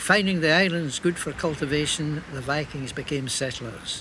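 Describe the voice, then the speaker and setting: Against noticeable background noise, a man talks at fairly high pitch. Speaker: TV presenter. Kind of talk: documentary narration and interview questions.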